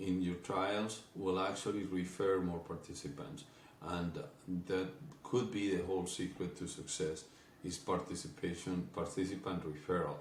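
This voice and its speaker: Against audible room echo, a man with a very deep, low pitch and a somewhat breathy voice speaks in a Spanish accent at a moderate pace with ordinary pitch variation. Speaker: company executive. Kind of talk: business presentation. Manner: halting, frequent fillers.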